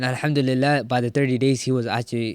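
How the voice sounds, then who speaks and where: A man's voice, flat and monotone, with a dry, close sound and no echo. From Middle East, Sri Lankan parents, born in Jordan. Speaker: college student and Islamic community worker. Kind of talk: casual chat.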